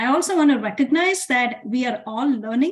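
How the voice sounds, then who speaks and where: A woman speaks in a somewhat breathy voice. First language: not English. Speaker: equity director at a nonprofit. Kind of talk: online meeting presentation. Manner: slowed down for interpreters.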